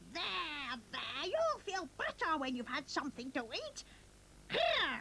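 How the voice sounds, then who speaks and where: Against clear background noise, a cartoonish character voice at an extremely high pitch speaks at a fairly slow pace. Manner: motherly, fussy.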